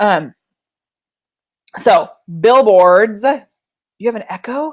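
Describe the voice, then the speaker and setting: A woman speaks loudly in an animated tone with ordinary pitch variation over a quiet background. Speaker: business coach. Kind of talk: live tutorial.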